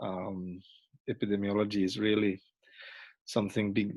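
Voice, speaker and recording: With a Swedish accent, a man speaks at a moderate pace and a fairly low pitch. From Sweden. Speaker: retired traffic safety director, professor. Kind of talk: panel introduction. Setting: video call. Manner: hesitant, many fillers.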